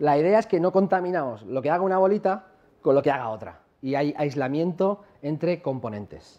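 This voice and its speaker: With lively intonation, a man speaks quickly in a fairly high voice. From La Mancha, Spain; Spain. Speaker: software company founder, conference speaker; conference speaker. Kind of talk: conference talk. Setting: stage with audience. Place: hall.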